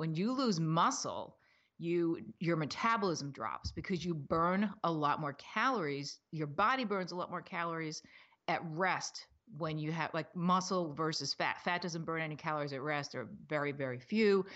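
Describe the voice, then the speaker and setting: Fairly low in pitch with ordinary pitch variation, a woman speaks at a moderate pace. It is a plain, everyday voice. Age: 50s. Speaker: fitness trainer and author. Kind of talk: interview.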